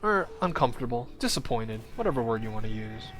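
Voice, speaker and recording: Over music in the background and audible room echo, the speaker talks at a very fast pace with lively intonation. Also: man. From Hong Kong. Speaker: esports caster. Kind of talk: live commentary. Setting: livestream. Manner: casual.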